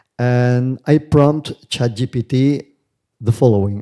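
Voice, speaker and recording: A man with a non-native accent speaks at a medium pitch with a dark, mellow tone. The recording is very clean and dry, close with no echo, and the background is silent. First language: not English. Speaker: conference speaker, researcher. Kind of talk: academic conference talk. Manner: hesitant, with fillers.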